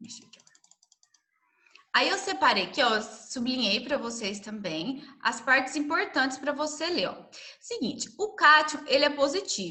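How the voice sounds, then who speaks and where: Talking at a fairly slow pace in a raised, projected voice, the speaker swings very widely in pitch and greatly in loudness, with audible room echo. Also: woman, high pitch for a woman. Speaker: science teacher. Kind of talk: lecture.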